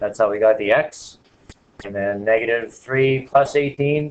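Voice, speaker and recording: Ordinary pitch variation in a man's voice, an ordinary speaking voice. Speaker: math teacher. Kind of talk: classroom lecture.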